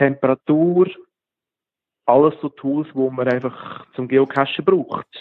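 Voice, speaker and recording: A man's voice with a fairly high pitch. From Switzerland, Lucerne region. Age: 40s. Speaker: app developer and geocacher. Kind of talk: interview.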